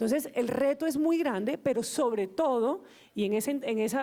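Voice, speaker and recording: Her high voice has a dark, mellow tone and lively intonation. The woman is heard on a very clean recording with a silent background. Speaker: government official, panelist. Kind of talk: panel discussion. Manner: fast.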